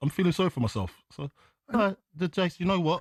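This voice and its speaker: In a whiny, put-on character voice pitched high, a man talks at a fairly quick pace against a quiet background. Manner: whiny, feeling sorry for oneself.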